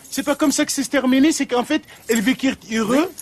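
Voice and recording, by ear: Music plays in the background as a woman speaks fairly quickly in a high pitch with ordinary pitch variation.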